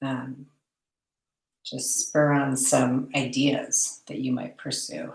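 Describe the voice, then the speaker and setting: A soft-spoken woman at a very slow pace, with long, frequent pauses. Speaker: art teacher. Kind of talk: tutorial. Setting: art studio, online class.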